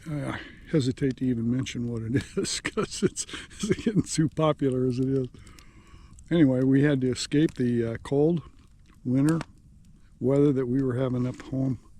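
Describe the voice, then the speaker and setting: A man speaks at a medium pitch in a dark, mellow tone with ordinary pitch variation. His pace is moderate, broken by long, frequent pauses. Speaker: camping vlogger. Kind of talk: casual vlog narration. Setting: outdoors at a campsite. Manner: halting, many fillers; quiet.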